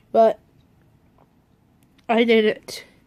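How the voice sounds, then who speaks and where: A woman speaks with a fairly high pitch. The sound is dry and close, with no echo. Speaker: vlogger. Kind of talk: casual talk to camera.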